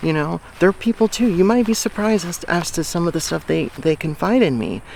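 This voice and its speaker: A man's fairly high, lively voice at a fairly quick pace, with noticeable background noise. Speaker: life coach and vlogger. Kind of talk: casual vlog monologue. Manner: halting, many fillers and restarts.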